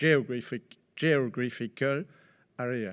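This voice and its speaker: A man speaks at medium pitch with a French accent. The recording is very clean with a silent background and a dry, close sound with no echo. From France. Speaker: politician. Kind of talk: conference speech. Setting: conference hall with audience. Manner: formal.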